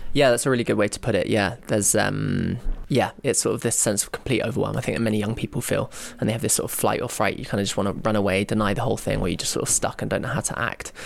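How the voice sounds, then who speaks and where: In a southern English accent, a man talks at a very fast pace. His pitch varies an ordinary amount. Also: medium pitch for a man. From London, England. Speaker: documentary filmmaker. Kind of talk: interview.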